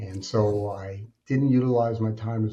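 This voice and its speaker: A man's medium-pitched voice with an American accent, fairly even intonation, a somewhat breathy quality and a dark, mellow tone. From Alaska, US. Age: 60s. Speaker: author and speaker, former addict. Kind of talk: interview, personal testimony.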